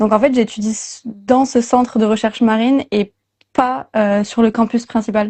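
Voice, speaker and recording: A woman with a fairly high, somewhat breathy voice speaks with fairly even intonation. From southwest France. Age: 20s. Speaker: marine biology student. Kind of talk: interview. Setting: livestream. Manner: hesitant, many fillers.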